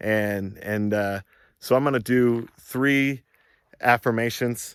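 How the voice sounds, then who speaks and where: A man at medium pitch with fairly even intonation and a very slow pace, on a very clean recording with a silent background. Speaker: self-help vlogger. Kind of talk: casual monologue vlog. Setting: outdoors. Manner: hesitant, many fillers; yelling affirmations, intense.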